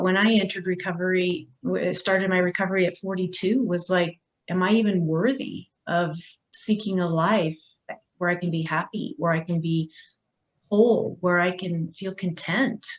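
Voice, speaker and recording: Speaking at a moderate pace, a woman has a normal speaking voice at medium pitch. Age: 50s. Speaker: recovery advocate. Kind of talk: panel discussion.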